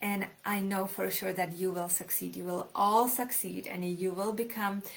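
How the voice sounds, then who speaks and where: A woman speaks with a Czech accent at a moderate pace. Her medium-pitched voice stays monotone and flat. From Czech Republic, small city near Polish border. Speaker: author. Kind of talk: live stream talk. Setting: live video stream.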